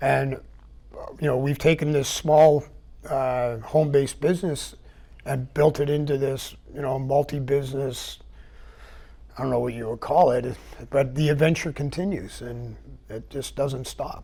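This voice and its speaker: A man with a Canadian accent has a fairly high pitch, a dark, mellow tone and a somewhat breathy sound. He keeps a moderate pace and fairly even intonation, with long, frequent pauses. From Vancouver Island, British Columbia, Canada. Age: 60s. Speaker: business owner and retired military parachute rigger. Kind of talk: interview. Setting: TV studio.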